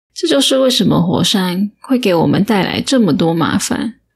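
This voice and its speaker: A woman speaks in a calm tone at a medium pitch, with vocal fry. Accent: Taiwanese. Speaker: audiobook narrator. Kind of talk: audiobook reading, bedtime story. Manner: slow, calm.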